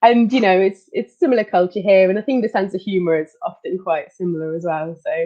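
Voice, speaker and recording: In a Belgian accent, a woman speaks at a very fast pace with hardly any pauses, a medium pitch and ordinary pitch variation. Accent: European, Belgian. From Belgium, Leuven. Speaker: occupational therapist. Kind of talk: interview.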